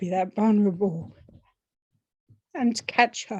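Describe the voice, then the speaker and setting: A woman speaks with a fairly high pitch and a somewhat breathy quality. Her tone is dark and mellow. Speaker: podcast host. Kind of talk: personal monologue. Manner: hesitant, with fillers.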